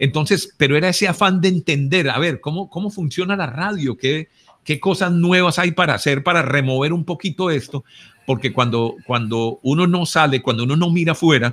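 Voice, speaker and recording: A man's plain, everyday voice, fairly high in pitch, with ordinary pitch variation and a moderate pace. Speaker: radio broadcaster, announcer and consultant. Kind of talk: interview answer about his radio career. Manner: conversational, reflective.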